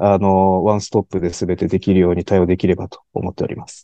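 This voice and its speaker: A man's dark, mellow tone at a fairly quick pace, dry and close with no echo, over a quiet background. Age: 40s. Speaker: sales representative. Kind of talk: interview. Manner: polite, formal; hesitant, many fillers.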